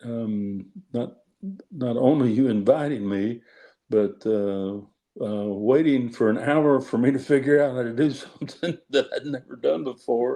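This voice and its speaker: In a dark, mellow tone, a man speaks at a fairly slow pace with ordinary pitch variation against a quiet background. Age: 60s. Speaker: judge and author. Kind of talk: interview. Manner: halting, many fillers.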